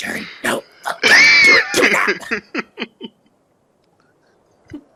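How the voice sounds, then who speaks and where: In a put-on character voice, a man growls in a guttural way at an extremely high pitch and a very slow pace. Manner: commanding growl.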